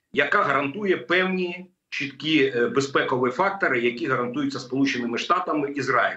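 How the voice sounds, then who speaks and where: A man talks at a fairly quick pace with ordinary pitch variation. The background is quiet, but the room echo is audible. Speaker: remote guest. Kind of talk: interview answer. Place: home room.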